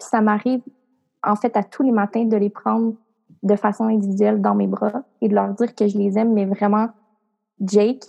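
At a moderate pace broken by long, frequent pauses, a woman speaks at a medium pitch with a dry, close sound and no echo. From Quebec, rural Portneuf area. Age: 20s. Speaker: entrepreneur and coach. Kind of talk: interview.

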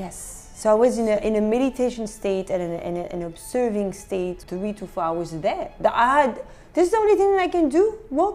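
A woman with a French accent talks at a moderate pace in a fairly high, animated voice with very wide pitch swings. Noticeable background noise runs beneath her. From France, Beauvais near Paris. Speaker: photographer. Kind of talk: interview.

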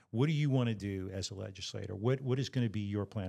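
On a very clean recording with a silent background, a man speaks at a fairly low pitch in an unremarkable speaking voice. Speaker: podcast host. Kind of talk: casual interview. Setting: studio.

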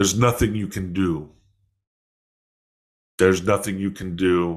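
A man puts on a gravelly character voice with a very deep, low pitch. He goes at a moderate pace with fairly even intonation. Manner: menacing, ominous.

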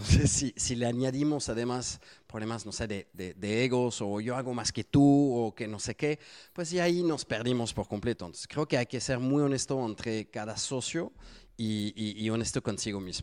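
At a medium pitch and a moderate pace, a man speaks with a slight French accent and ordinary pitch variation. The recording is very clean and dry, close with no echo and a silent background. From France. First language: French (speaking Spanish). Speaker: SEO agency founder. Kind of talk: interview. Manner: hesitant with many fillers.

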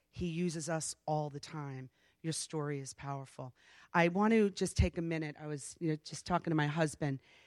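Delivered at a moderate pace, the speech comes through in a very clean recording against a silent background. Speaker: church leader praying. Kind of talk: prayer. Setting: church.

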